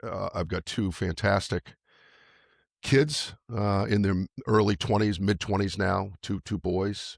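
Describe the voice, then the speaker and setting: A man speaks at a fairly slow pace with a fairly low pitch. The recording is very clean, dry and close, with a silent background and no echo. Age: 60s. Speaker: health and longevity coach, author. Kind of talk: interview conversation. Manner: halting, many fillers.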